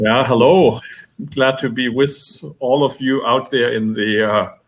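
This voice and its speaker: A man with a German accent at a medium pitch, ordinary pitch variation and a fairly slow pace. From Germany. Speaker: nonprofit executive director, social worker. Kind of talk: panel self-introduction. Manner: halting.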